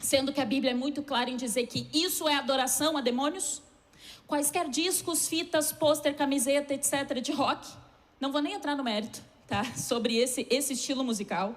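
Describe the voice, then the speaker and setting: Speaking at a moderate pace, a woman uses a high voice with ordinary pitch variation. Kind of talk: sermon.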